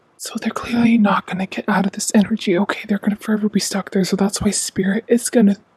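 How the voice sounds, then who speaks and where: A woman's somewhat breathy voice at a medium pitch has a dark, mellow tone and monotone, flat intonation, heard in a dry, close sound with no echo. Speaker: tarot reader. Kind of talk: tarot reading. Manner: talking oddly.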